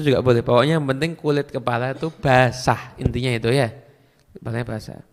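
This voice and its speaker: With a Madurese accent, a man speaks fairly quickly at a medium pitch, keeping his intonation fairly even. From Madura, Indonesia. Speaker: Islamic preacher. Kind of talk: religious Q&A lecture.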